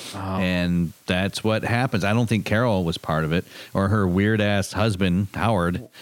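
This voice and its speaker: A man with an American accent, a normal speaking voice, fairly low pitch, fairly even intonation, very even loudness and a moderate pace. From Michigan, small town. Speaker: podcast co-host. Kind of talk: casual chat.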